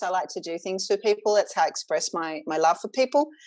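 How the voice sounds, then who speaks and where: A voice with an Australian accent over a quiet background. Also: woman. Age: 40s. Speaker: singer and sound healer. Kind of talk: casual interview chat.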